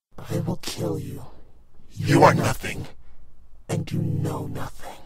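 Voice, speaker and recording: Loud background noise surrounds a man doing a growling, put-on character voice. He speaks at a fairly slow pace. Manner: menacing, evil.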